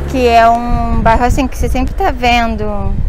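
Against light background noise, a woman speaks at a fairly slow pace. The recording is dry, with no echo. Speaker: travel vlogger, journalist. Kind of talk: casual travel vlog talk to camera. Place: street. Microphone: phone near.

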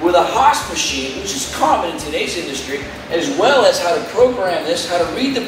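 A man talks over noticeable background noise, with audible echo from the room. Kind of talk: promotional tour presentation. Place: workshop.

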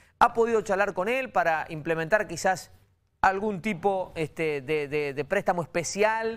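A man's high voice moves through ordinary pitch variation. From Argentina. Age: 40s. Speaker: TV interviewer. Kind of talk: interview. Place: studio.

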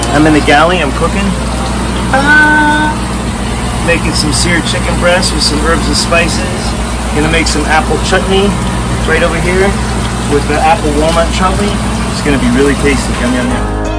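Over loud background noise, a man talks at a moderate pace with long, frequent pauses. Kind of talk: casual vlog chat. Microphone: phone near.

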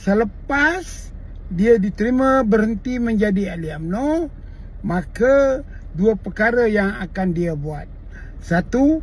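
Speaking with a Malay accent at a very slow pace, a man with a high voice uses lively intonation. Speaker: political commentator, veteran party member. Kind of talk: angry rant, political tirade. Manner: indignant, scolding, repeatedly hurling insults; blunt, forceful, sarcastic rhetorical questions.

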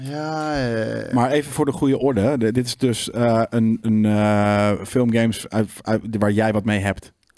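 A man speaking at a very slow pace, in a very clean recording with a silent background. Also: medium pitch for a man, ordinary pitch variation. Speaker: gaming show co-host. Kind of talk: casual chat.

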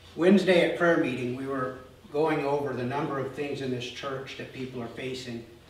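A man is speaking. Room echo is audible, along with light background noise. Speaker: pastor. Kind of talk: sermon. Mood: earnest, serious. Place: church.

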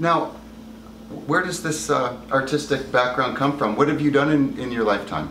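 A moderate pace, ordinary pitch variation, and noticeable background noise. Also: man, fairly high pitch for a man. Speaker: interviewer. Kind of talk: interview questions.

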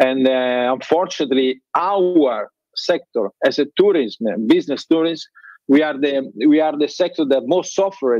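With an Italian accent, this man has a fairly high pitch, a dark, mellow tone and ordinary pitch variation, talking at a moderate pace against a quiet background in a dry sound with no echo. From Italy. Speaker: trade fair president; remote conference panelist. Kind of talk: panel discussion. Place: office. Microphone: video call.

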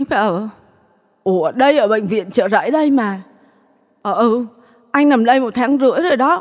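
A woman talks in a high voice with lively intonation. She goes at a fairly slow pace, with long, frequent pauses. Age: 40s. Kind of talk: testimony.

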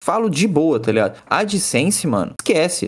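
At a moderate pace, a man talks in a high-pitched voice. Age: 20s. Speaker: automotive YouTuber. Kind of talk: casual chat. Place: home room.

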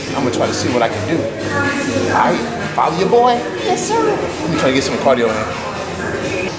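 Clear music can be heard behind the voice. A man talks at a moderate pace. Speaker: fitness vlogger. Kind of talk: casual vlog chat. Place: gym. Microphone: phone near.

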